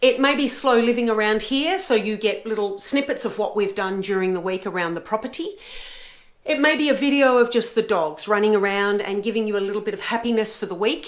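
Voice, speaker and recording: In an Australian accent, a woman talks at a fairly quick pace and fairly high pitch with ordinary pitch variation. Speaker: book and travel vlogger. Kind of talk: casual vlog talk. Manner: hesitant with fillers.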